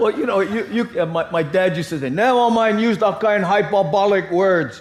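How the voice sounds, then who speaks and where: Against noticeable background noise, a man speaks at a high pitch and fairly quick pace with ordinary pitch variation. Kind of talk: panel discussion. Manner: casual, anecdotal storytelling.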